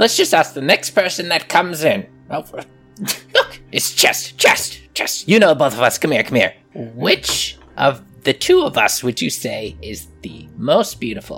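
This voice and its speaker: In a put-on character voice of middle pitch, the speaker moves at a fairly slow pace with hardly any pauses while faint music plays in the background. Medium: actual play. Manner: quarrelsome.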